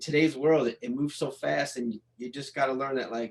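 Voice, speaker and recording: The man's tone is animated. He speaks very fast. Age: 40s. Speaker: DJ and recording artist. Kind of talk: casual interview chat.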